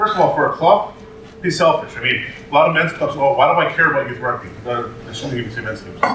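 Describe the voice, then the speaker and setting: A man speaks at a fairly quick pace with a fairly high pitch. The room echoes audibly, and background noise is noticeable. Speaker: youth rugby club director. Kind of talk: conference talk. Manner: fast; animated.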